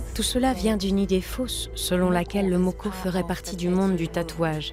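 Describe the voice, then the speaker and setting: Speech at a moderate pace and very even loudness, with music in the background. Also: woman. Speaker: voice actress. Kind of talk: documentary voice-over dub. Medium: dub.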